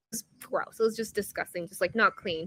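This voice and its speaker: A woman with a Korean accent speaks in a bright, sharp tone. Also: dry, close sound with no echo. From South Korea, moved to Colorado at 11. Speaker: performance coach. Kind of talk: interview conversation. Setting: live stream video call. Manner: conversational, many fillers.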